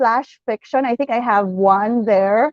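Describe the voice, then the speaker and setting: In a Western Visayas accent, a woman speaks with a dry, close sound and no echo. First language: Hiligaynon. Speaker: author. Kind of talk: casual interview in Taglish. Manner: halting, many fillers and repetitions.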